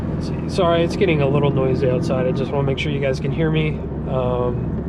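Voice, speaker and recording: Audible room echo and noticeable background noise accompany a man who speaks very fast. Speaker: car vlogger. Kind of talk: casual vlog while driving. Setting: in a car. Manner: halting, many fillers.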